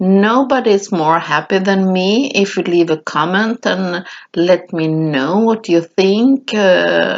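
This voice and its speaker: A woman with a non-native accent speaks at a medium pitch. Her pace is very slow, yet her intonation is lively. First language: not English. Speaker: mixed media artist, craft tutorial creator. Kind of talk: voiceover craft tutorial. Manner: halting, with many fillers.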